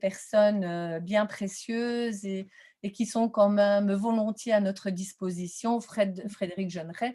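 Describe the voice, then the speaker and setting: With fairly even intonation and a medium pitch, a woman talks at a very slow pace. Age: 60s. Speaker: teacher-training lecturer in visual arts. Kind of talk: webinar presentation Q&A. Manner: hesitant, many fillers.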